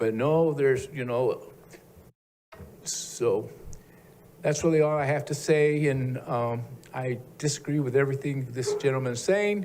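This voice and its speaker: Audible room echo surrounds a man with a fairly high voice. He speaks at a fairly slow pace with ordinary pitch variation. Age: 70s. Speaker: public commenter, local resident. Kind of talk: public comment at a city meeting. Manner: halting.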